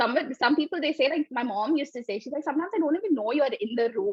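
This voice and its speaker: A high-pitched woman's voice with an Indian accent and lively intonation, dry and close with no echo. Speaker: developer. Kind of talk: interview.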